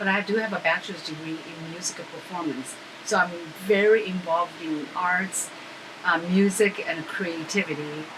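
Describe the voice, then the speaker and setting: Noticeable background noise sits behind a woman's fairly low voice. She talks at a moderate pace with fairly even intonation. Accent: Chinese. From China. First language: Chinese. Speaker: animal rights activist and violinist. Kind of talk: interview. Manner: halting.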